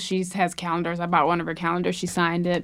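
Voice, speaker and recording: A woman with an American accent and a fairly low pitch. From US South. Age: 20s. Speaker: comedian. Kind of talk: casual chat.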